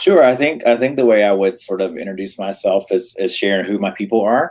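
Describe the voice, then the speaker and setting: Lively intonation marks this man's medium-pitched voice. He has an American accent and a fairly quick pace. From US South, Raleigh, North Carolina. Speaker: philanthropy leader and author. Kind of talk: interview. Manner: hesitant, many fillers.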